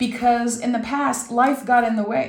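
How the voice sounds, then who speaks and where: In a room with audible echo, a woman with a fairly high, somewhat breathy voice and a warm tone speaks at a fairly slow pace. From Quebec. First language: French. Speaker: tarot reader. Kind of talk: tarot reading. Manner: warm, conversational.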